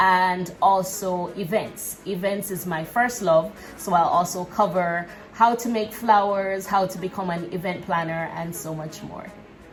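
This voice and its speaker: A woman of medium pitch speaks fairly slowly with fairly even intonation and big swings in loudness, with noticeable background noise and audible room echo. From Jamaica. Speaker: entrepreneur and vlogger. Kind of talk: casual Q&A vlog.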